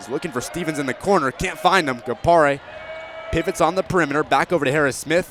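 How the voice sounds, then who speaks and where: Over noticeable background noise, a man talks very fast at a fairly high pitch, with ordinary pitch variation and big swings in loudness. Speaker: sports broadcaster. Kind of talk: radio basketball play-by-play.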